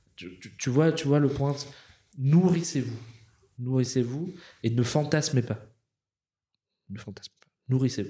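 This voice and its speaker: The voice has a dark, mellow tone and sounds somewhat breathy. Its loudness swings widely, and long pauses come often. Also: man, medium pitch for a man, ordinary pitch variation. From Madagascar. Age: 30s. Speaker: business strategy consultant. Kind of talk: interview conversation. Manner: halting, many repetitions and fillers.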